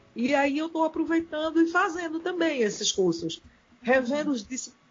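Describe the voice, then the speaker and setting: A somewhat breathy woman's voice. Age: 50s. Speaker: physical education teacher. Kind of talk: interview.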